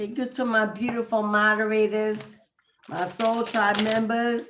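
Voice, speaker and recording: A woman's fairly high voice in a monotone, flat intonation. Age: 50s. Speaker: tarot reader. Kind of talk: live-stream tarot reading. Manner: halting.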